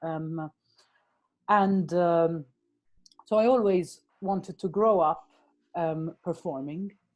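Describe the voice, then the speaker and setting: A woman with a Maltese accent speaks at a very slow pace, leaving long, frequent pauses. Her pitch is fairly low, with ordinary variation. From Malta. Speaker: actor, writer and director. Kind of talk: interview. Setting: podcast. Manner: halting, many fillers.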